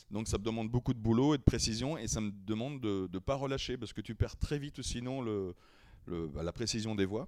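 Lively intonation marks a man's speech at a fairly quick pace. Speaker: impressionist and singer. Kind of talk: casual chat.

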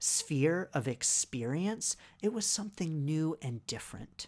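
A woman with an American accent and a very deep, low pitch speaks at a fairly slow pace. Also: very clean recording, silent background. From US. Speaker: podcast host and Reiki business coach. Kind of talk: solo podcast monologue.

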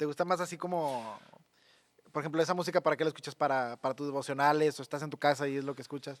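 Speaking at a very fast pace with a Mexican accent, a man uses a fairly high pitch and fairly even intonation, recorded with a dry, close sound and no echo. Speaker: youth podcast host. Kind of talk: casual interview.

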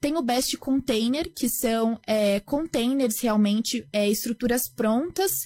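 A woman with a fairly high pitch speaks in an unremarkable speaking voice. The sound is dry and close with no echo, and her pitch varies in an ordinary way. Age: 20s. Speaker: startup founder. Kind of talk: interview.

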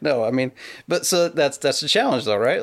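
A man speaks with a Pacific Northwest accent and ordinary pitch variation. The recording is very clean, with a silent background. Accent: Pacific Northwest American. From western Washington State. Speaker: pear grower. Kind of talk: casual interview.

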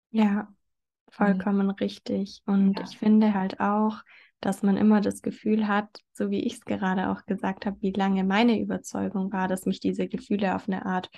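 Dark, mellow, somewhat breathy tone at a moderate pace over a quiet background. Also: woman. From southern Germany, near Stuttgart. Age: 20s. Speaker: blogger and podcaster on eating disorder recovery. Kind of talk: interview conversation.

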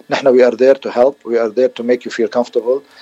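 In a flat monotone, a man talks at a fairly quick pace, the sound dry and close with no echo but with noticeable background noise. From Lebanon, Beirut area. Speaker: dentist. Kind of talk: radio interview.

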